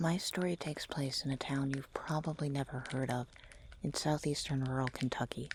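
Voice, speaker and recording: At a moderate pace, a man with a fairly high pitch speaks in a calm, somewhat breathy tone with fairly even intonation, the sound dry and close with no echo. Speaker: vtuber, ASMR creator. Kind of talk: ASMR creepypasta reading. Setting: home microphone recording with ambient fire sounds. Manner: soft-spoken, calm, storytelling.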